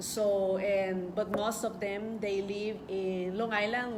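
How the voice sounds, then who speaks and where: Against noticeable background noise and audible room echo, a woman speaks at a medium pitch and a fairly slow pace with monotone, flat intonation. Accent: Spanish. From El Salvador. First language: Spanish. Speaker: journalist and book author. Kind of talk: book presentation speech. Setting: event hall with audience. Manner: halting.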